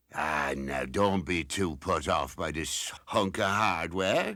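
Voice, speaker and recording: A put-on character voice from a man, very deep and low in pitch, at a fairly slow pace in a very clean recording with a silent background. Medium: short film. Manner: hearty, chuckling.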